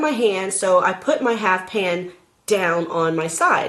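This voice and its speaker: A woman's animated tone at a fairly slow pace, with ordinary pitch variation and noticeable background noise. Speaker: vlogger. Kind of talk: casual chat.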